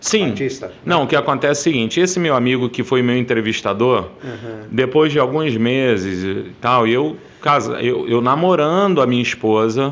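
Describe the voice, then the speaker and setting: A man with an ordinary speaking voice talks at a moderate pace and medium pitch, with ordinary pitch variation and hardly any pauses. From Rio de Janeiro, Brazil. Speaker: Baptist pastor. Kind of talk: interview answer.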